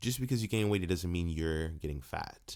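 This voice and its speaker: Pitch varies in an ordinary way. The recording is very clean, with a silent background. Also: man. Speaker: fitness trainer and podcast host. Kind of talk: solo podcast monologue. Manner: halting, self-correcting; casual.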